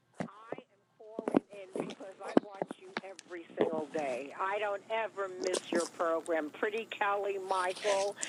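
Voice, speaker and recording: A woman speaks at a medium pitch and a fairly slow pace with ordinary pitch variation. Her loudness swings widely over noticeable background noise. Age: 70s. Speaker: caller. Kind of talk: call-in comment.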